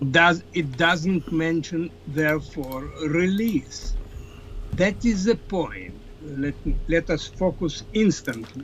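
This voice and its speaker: A man's high voice with a non-native accent, very slow, with ordinary pitch variation. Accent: foreign. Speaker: political scientist. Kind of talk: interview.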